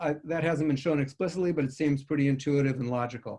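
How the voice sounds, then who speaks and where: The man's voice sits fairly high in pitch, with fairly even intonation. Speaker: physician researcher. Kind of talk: research presentation. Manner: fast.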